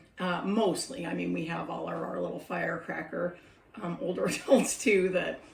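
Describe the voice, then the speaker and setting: The speech moves at a moderate pace over noticeable background noise, with audible echo from the room. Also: woman. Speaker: former caregiver for older adults. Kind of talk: casual vlog monologue. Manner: hesitant with many fillers.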